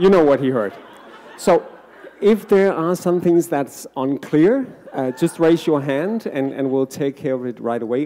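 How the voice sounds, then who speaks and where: Over noticeable background noise, a man with a non-native accent talks at a fairly slow pace with lively intonation. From Denmark. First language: Danish. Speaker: happiness researcher and author. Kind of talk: book talk to live audience. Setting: stage with audience. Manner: hesitant, many fillers.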